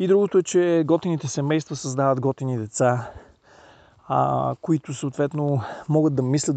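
A man's dark, mellow tone with ordinary pitch variation, in a dry, close sound with no echo. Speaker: NLP trainer. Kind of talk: casual monologue. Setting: outdoors, mountain trail. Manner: casual, with filler sounds.

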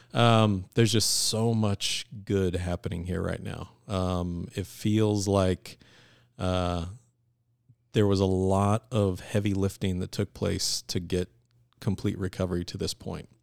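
Very deep and low, a man's voice moves at a very slow pace in a flat monotone with an American accent. The recording is very clean and dry, close and free of echo, with a silent background. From US West Coast, Bay Area, California. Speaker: finance executive. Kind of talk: casual interview.

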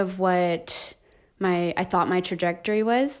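A woman with an American accent talks at a fairly slow pace. Her pitch is medium, with ordinary pitch variation. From California, Inland Empire. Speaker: children's ministry director. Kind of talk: casual interview.

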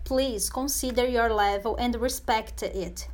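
Her accent is Portuguese. The woman talks at a fairly slow pace. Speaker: Portuguese language teacher. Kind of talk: tutorial. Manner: halting, many fillers and repetitions.

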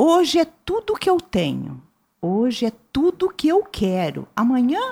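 A woman speaks very slowly in a somewhat breathy voice. Her pitch swings very widely. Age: 60s. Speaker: writer and visual artist. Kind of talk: interview.

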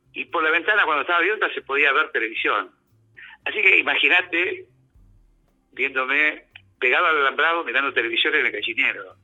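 A man talks at a fairly quick pace, broken by long, frequent pauses. Music plays in the background. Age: 60s. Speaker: former community radio host. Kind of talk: casual chat.

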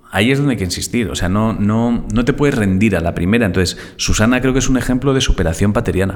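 The talk runs at a very fast pace with hardly any pauses and very even loudness. Noticeable background noise is present. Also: man, fairly low pitch for a man, ordinary pitch variation. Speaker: podcast co-host. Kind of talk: casual chat.

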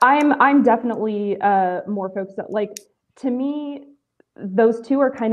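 A woman's normal speaking voice, moderate pace and lively intonation. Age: 30s. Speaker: aspiring content creator. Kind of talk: casual chat. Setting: video call.

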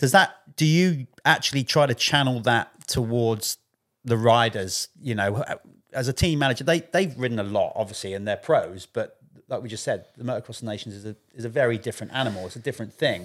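With a British accent, a man speaks at a fairly quick pace with big swings in loudness. The recording is very clean, with a silent background. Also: medium pitch for a man, ordinary pitch variation. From UK. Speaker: podcast host, former motocross magazine writer. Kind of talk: casual chat.

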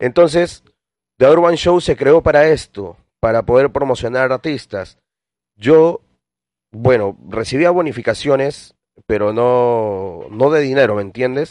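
With a dry, close sound free of echo and a quiet background, a man speaks at a fairly slow pace with lively intonation. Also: medium pitch for a man. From Peru, Lima. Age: 30s. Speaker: podcast host and urban music producer. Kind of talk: casual podcast monologue. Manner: hesitant, frequent fillers and repetitions.

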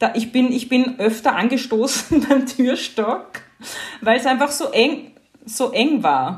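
A high-pitched woman's voice with ordinary pitch variation, at a very slow pace. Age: 40s. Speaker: journalist and podcaster. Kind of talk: casual interview conversation.

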